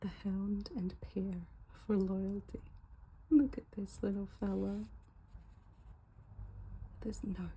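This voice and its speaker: Soft-spoken and relaxed, the voice moves at a very slow pace with long, frequent pauses. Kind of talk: ASMR unboxing, soft-spoken casual talk to camera. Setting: recorded at home with faint car noise in background. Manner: soft-spoken, relaxed.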